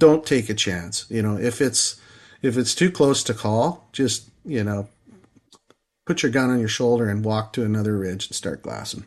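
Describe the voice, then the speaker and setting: A man speaks at a moderate pace in a Canadian prairie accent, his pitch rising and falling in an ordinary way. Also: medium pitch for a man. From Saskatchewan, Canada. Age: 50s. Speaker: sheep hunter. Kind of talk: casual interview.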